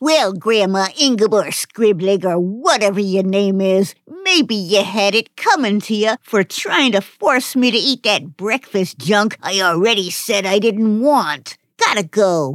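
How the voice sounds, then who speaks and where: A woman's put-on character voice at a medium pitch and fairly slow pace, with lively intonation, very even loudness, hardly any pauses, and a dry, close sound with no echo. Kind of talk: comic overacting. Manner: surly, contemptuous, tough-guy "yous".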